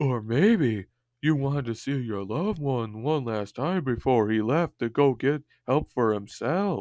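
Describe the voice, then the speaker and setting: A man does a put-on character voice at a medium pitch with lively intonation and a moderate pace. The sound is dry and close with no echo, and the background is quiet. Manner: mocking, stupid-sounding voice.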